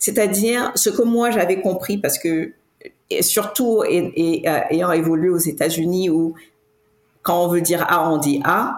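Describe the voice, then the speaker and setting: Her pitch fairly low, a woman talks at a very slow pace with ordinary pitch variation and very even loudness. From Cameroon. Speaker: tech entrepreneur. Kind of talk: podcast interview. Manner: halting, many restarts and fillers.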